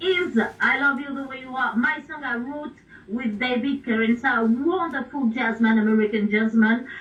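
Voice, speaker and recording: Speaking at a moderate pace with an Italian— with a French accent, a woman shows ordinary pitch variation. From France. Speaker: pop singer and radio DJ. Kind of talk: radio interview. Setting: radio broadcast. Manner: halting.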